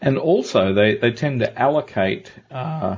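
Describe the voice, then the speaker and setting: This is a man with an unremarkable speaking voice. His pitch varies in an ordinary way. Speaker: podcast host. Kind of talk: interview.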